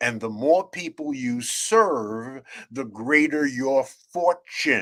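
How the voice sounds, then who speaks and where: Bright and sharp in tone, a man's fairly high voice sounds animated, with lively intonation. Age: 70s. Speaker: author and networking speaker. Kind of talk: interview.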